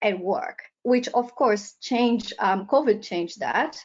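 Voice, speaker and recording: Speaking at a very slow pace with lively intonation, this voice carries a Portuguese accent. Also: woman. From Brazil. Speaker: professor. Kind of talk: lecture. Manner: hesitant, frequent ums.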